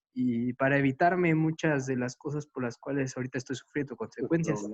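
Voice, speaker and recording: This man has a plain, everyday voice, fairly high in pitch, with ordinary pitch variation. He talks at a fairly quick pace. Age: 20s. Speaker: class participant. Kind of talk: testimony.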